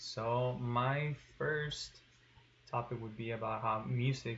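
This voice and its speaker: A man's voice is heard. It sits at a medium pitch. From Tijuana, Mexico. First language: Spanish. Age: 20s. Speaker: student. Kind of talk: class presentation. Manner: hesitant with fillers.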